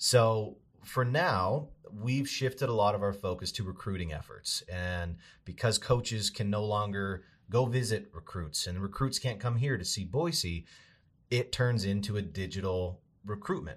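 On a very clean recording with a silent background, a man with an American accent speaks at a moderate pace in a fairly low, somewhat breathy voice with ordinary pitch variation. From Idaho, US. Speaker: sports video producer, former sportscaster. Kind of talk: interview.

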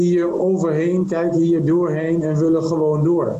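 The speaker is a man with a high pitch. Room echo can be heard. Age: 40s. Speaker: M&A advisor. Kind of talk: interview.

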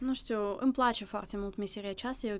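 Very clean, with a silent background, this recording captures a woman with a Russian accent. Her voice sits at a medium pitch with ordinary variation. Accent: Russian accent in Romanian. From Russia, Vladivostok, then Moldova from age 11. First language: Russian (speaking Romanian). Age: 20s. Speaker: university student and language teacher. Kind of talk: interview conversation.

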